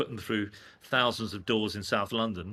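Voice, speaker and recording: In a very clean recording with a silent background, a man with a medium pitch talks at a fairly quick pace in a bright, sharp tone. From England. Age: 60s. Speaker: screen-print artist, former advertising executive. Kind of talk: casual interview chat.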